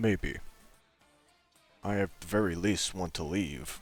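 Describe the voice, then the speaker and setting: Faint music plays in the background. A man uses a put-on character voice with a very deep, low pitch at a fairly slow pace. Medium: machinima. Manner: terse, slow, laconic.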